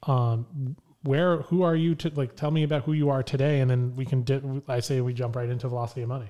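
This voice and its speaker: A dark, mellow voice speaks at a very fast pace with fairly even intonation. The recording is very clean, with a silent background. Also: man, medium pitch for a man. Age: 30s. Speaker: podcast co-host. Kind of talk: casual chat.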